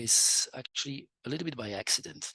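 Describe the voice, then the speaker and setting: A man with a Dutch accent talks at a moderate pace with ordinary pitch variation, recorded in a dry, close sound with no echo. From Flanders, Belgium. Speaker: economist and entrepreneur. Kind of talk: interview. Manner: halting, many fillers.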